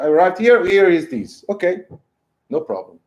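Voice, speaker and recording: This man speaks loudly with a Portuguese accent. His pitch variation is ordinary. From Portugal. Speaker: professor. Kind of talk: lecture.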